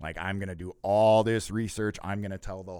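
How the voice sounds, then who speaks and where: A man speaks in a dark, mellow tone at a fairly low pitch. His moderate pace comes through on a very clean recording with a silent background. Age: 30s. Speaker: company employee, podcast guest. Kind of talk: casual interview.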